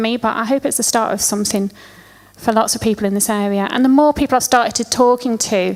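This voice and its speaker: A woman in a Lancashire accent, fairly high in pitch, at a fairly quick pace with ordinary pitch variation. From Lancashire, northern England. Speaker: event organiser. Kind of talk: conference talk. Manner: animated.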